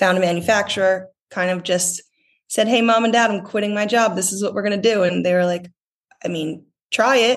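Talking at a fairly quick pace with fairly even intonation, the speaker has a plain, everyday voice with an American accent. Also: woman, medium pitch for a woman. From US, North Jersey. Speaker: swimwear company founder. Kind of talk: casual interview chat.

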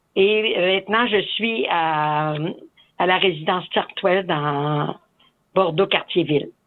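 A woman speaks at a medium pitch with ordinary pitch variation. Her pace is very slow, broken by long, frequent pauses. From Quebec, Portneuf countryside. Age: 70s. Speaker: nun and retired teacher. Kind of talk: conversational testimony.

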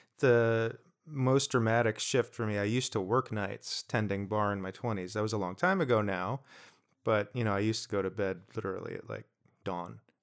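A man with an American accent and a normal speaking voice, fairly low in pitch, ordinary pitch variation, fairly quick pace, very clean recording with a silent background. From New Jersey. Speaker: podcast co-host. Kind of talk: casual chat.

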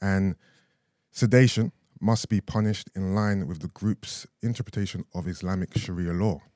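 A man with a London accent speaks at a moderate pace, the sound dry and close with no echo, on a very clean recording with a silent background. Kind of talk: casual chat.

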